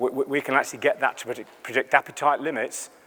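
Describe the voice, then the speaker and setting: A man's voice with an English accent. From England, Lincolnshire. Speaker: animal nutritionist. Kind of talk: conference talk. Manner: conversational, animated.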